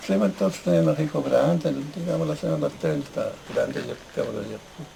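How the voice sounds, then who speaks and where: Noticeable background noise surrounds a man who speaks at a very fast pace. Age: 80s+. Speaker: former farm worker, land occupation participant. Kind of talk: interview. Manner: halting.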